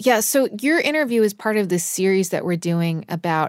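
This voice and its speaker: A woman with a plain, everyday voice speaks at medium pitch and a moderate pace in a very clean recording with a silent background. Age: 40s. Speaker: podcast host. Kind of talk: interview. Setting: studio.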